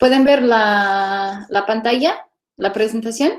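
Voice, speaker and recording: Here a woman speaks very slowly at a fairly high pitch. Her pitch varies in an ordinary way. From California, US. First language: English (speaking Spanish). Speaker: archaeologist. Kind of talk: lecture.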